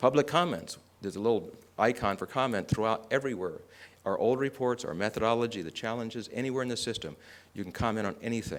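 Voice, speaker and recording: On a very clean recording with a silent background, a man talks very fast at a medium pitch with ordinary pitch variation. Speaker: conference speaker. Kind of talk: conference presentation.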